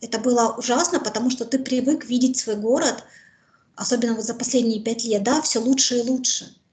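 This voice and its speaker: Her pitch high, a woman talks at a fairly quick pace with fairly even intonation. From Mariupol, Ukraine; Ukraine. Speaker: war survivor, former civic activist; interviewee. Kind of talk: interview testimony. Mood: serious, recounting hardship. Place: home room. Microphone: video call.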